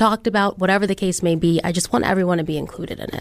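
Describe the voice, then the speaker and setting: A woman speaks with an American accent at a medium pitch. Her intonation stays fairly even. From Detroit. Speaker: TV news personality. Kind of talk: casual chat.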